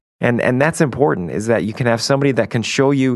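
This man talks very fast. The rise and fall of his voice is normal. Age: 30s. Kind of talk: faith talk show discussion.

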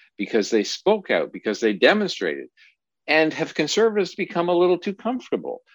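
A man with a Canadian accent talks at a fairly quick pace against a quiet background. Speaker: podcast host. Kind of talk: interview.

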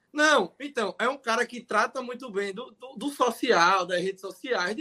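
A man's extremely high, raised, projected voice with a bright, sharp tone and lively intonation, big swings in loudness and hardly any pauses. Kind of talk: casual chat.

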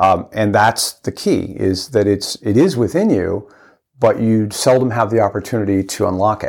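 On a very clean recording with a silent background, a man speaks at a moderate pace. His fairly low voice shows ordinary pitch variation. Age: 50s. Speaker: navy veteran and ultra runner. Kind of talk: interview. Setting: face-to-face studio interview. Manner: halting, many false starts.

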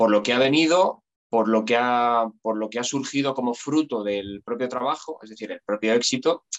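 An unremarkable speaking voice from a man, at a moderate pace with ordinary pitch variation. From Spain, Aranjuez (Madrid region). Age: 40s. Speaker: actor and musician. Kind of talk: casual interview.

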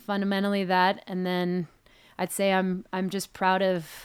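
This very clean recording with a silent background has a woman with an American accent talking at a moderate pace in a fairly low pitch. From Hong Kong and New York City. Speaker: ski mountaineer. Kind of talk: interview.

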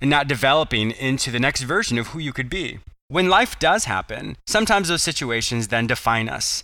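The speaker has a natural reading voice with lively intonation.

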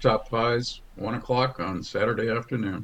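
A man at a moderate pace, his pitch medium. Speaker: radio host and food writer.

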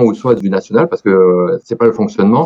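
This is a man speaking at a medium pitch. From France, Dordogne. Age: 40s. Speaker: IT director. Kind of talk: radio interview. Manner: hesitant with many fillers.

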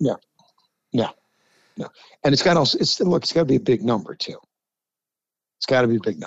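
A man with a fairly high pitch and vocal fry talks at a very fast pace, swinging very widely in pitch and leaving long, frequent pauses. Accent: New York. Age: 60s. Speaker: sports talk co-host. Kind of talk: casual sports debate chat. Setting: studio. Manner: animated.

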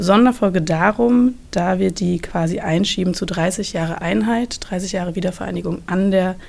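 A woman speaks at a moderate pace in an ordinary speaking voice. Her medium pitch shows ordinary variation. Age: 30s. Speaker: university social media editor hosting podcast. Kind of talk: interview.

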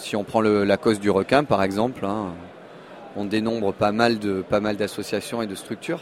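A man with an unremarkable speaking voice talks at a moderate pace, his fairly low pitch held in fairly even intonation. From Monaco. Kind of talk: interview.

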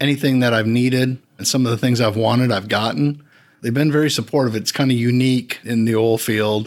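A man with an American accent has an unremarkable speaking voice of medium pitch. He talks at a fairly quick pace with fairly even intonation and very even loudness. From Wisconsin. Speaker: company safety director. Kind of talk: interview. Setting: company office.

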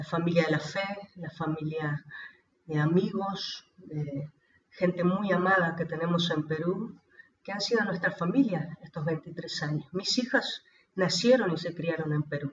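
Fairly low in pitch, a woman with a plain, everyday voice speaks fairly slowly with ordinary pitch variation. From Argentina, Río Gallegos, Santa Cruz province. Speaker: missionary, orphanage founder. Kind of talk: interview testimony.

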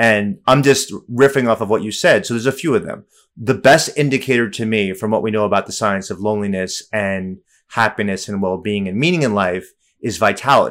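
In a normal speaking voice, a man speaks at a fairly quick pace with a fairly low pitch and ordinary pitch variation, in a very clean recording with a silent background. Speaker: professor. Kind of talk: casual interview.

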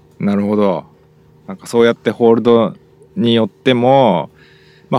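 With a dry, close sound and no echo, a man talks at a very fast pace in a medium pitch. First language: Japanese. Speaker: podcast host. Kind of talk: casual bilingual chat.

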